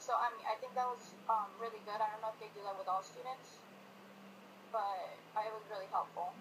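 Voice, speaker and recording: Noticeable background noise behind a woman's fairly high, fairly evenly intoned voice. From Colombia. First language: Spanish. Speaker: student. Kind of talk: interview answers. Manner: hesitant, many fillers.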